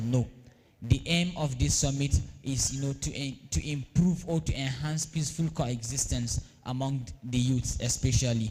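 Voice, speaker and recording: A man speaks at a moderate pace in a medium pitch with ordinary pitch variation. His tone is dark and mellow, and somewhat breathy. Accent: northern Nigerian. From northern Nigeria. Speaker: event organizer. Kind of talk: opening speech. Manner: hesitant, many fillers.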